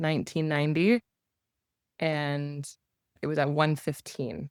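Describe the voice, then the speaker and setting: A woman with a Canadian accent and a very deep, low pitch speaks in a monotone, flat intonation, on a very clean recording with a silent background and a dry, close sound with no echo. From Canada. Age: 30s. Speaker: live Q&A participant. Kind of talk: casual chat.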